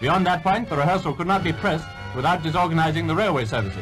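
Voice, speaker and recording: With music playing in the background, a man talks at a very fast pace in a fairly high pitch. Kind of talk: newsreel narration.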